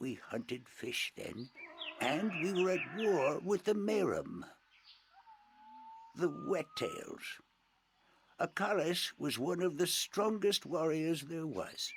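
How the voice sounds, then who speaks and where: A man puts on a character voice with a high pitch. He talks at a fairly slow pace and takes long, frequent pauses. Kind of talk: oral folktale narration. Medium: video game. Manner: formal, courteous.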